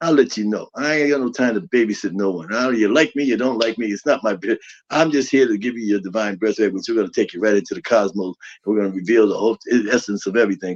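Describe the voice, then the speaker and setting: A man speaks at a very fast pace and at medium pitch. His tone is animated. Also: ordinary pitch variation. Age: 60s. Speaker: spiritual teacher. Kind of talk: lecture.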